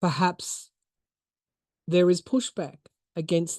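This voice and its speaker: In an Australian accent, a woman speaks with a fairly low pitch and a dark, mellow tone, the sound dry and close with no echo over a quiet background. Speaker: tarot reader and podcaster. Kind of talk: tarot reading monologue.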